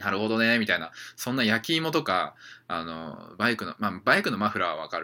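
With a bright, sharp tone, a man talks at a fairly quick pace on a very clean recording with a silent background. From Japan, Saitama. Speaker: traveling udon chef and podcaster. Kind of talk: casual solo podcast monologue. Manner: casual, many fillers and self-corrections.

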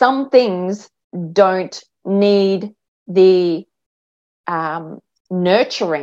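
A woman of medium pitch speaks with an Australian accent. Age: 50s. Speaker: mindset and life coach. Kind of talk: interview.

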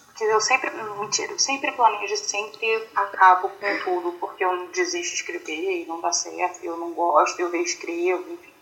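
A woman at a moderate pace with hardly any pauses and big swings in loudness, against noticeable background noise. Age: 30s. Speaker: author. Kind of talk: interview. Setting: video call.

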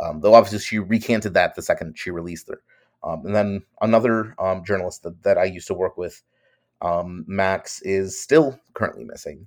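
Fairly low male voice at a moderate pace, ordinary pitch variation and big swings in loudness. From New York. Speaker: journalist. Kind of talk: interview. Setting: video call.

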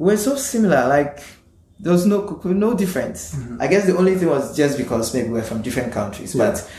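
A man's voice rises and falls in very wide pitch swings. He keeps a moderate pace amid audible room echo. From Ghana. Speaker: postgraduate student and urban planner. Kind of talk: casual interview.

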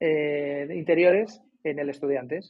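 A man speaks with a fairly high pitch and fairly even intonation. His is an unremarkable speaking voice. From Madrid, Spain. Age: 50s. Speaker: basketball coach and author. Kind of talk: casual interview.

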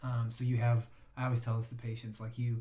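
In an American accent, the speaker goes at a fairly quick pace, somewhat breathy and with monotone, flat intonation. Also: man. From Chicago. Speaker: acupuncturist. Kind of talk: casual chat.

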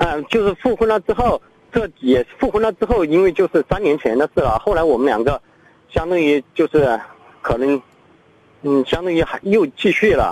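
A high male voice with very wide pitch swings and very even loudness, dry and close with no echo, against noticeable background noise. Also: moderate pace. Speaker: caller. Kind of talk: phone-in call. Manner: halting.

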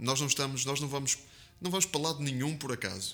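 A man with a medium-pitched voice and fairly even intonation talks over noticeable background noise. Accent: Porto. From Porto, northern Portugal. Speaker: evangelical pastor. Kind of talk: interview testimony. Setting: studio, seated beside host.

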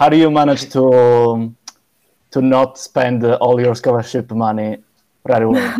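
Speaking with an Italian accent at a fairly slow pace, a man with a medium pitch and a dark, mellow tone keeps a monotone, flat intonation and very even loudness. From Sardinia, Cagliari. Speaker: podcast host. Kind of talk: casual chat. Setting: video call.

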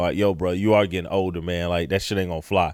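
A man's voice comes through on a very clean recording with a silent background. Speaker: podcast host. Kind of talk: casual opinionated banter. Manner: animated, opinionated.

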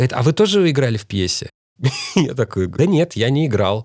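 In a very clean recording with a silent background, a man speaks at a very fast pace with very wide pitch swings. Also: dry, close sound with no echo. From Moscow, Russia. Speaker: writer and actor. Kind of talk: interview.

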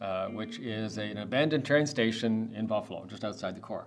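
A man with a Canadian accent at a medium pitch, fairly quick pace and ordinary pitch variation, with audible room echo. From Canada, Toronto. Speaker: real estate developer. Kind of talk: podcast interview. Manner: halting, many fillers.

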